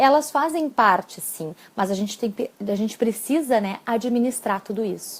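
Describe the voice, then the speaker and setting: At a fairly slow pace, a woman talks in a normal speaking voice with fairly high pitch. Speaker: psychologist and exam-prep coach. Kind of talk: live-stream talk with tips. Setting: live stream.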